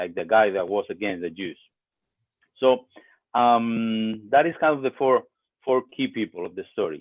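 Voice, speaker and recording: A man with a Spanish accent at a moderate pace. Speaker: pastor. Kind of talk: sermon. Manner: hesitant, many fillers.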